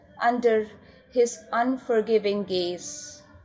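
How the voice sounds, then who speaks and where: Noticeable background noise is present. Over it, a woman talks at a very slow pace. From India. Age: 40s. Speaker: poet. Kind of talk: poetry reading.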